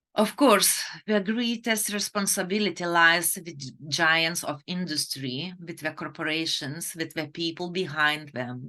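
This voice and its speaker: A woman with a Lithuanian accent speaks in a fairly low voice with a bright, sharp tone against a quiet background. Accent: foreign accent, Lithuanian. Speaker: fertility doctor. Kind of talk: webinar presentation. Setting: online webinar.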